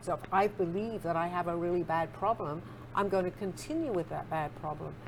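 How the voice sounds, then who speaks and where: A woman speaks at a fairly quick pace with an English accent. Her pitch sits in the medium range, with ordinary variation. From England. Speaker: spiritual author and psychic. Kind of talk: interview.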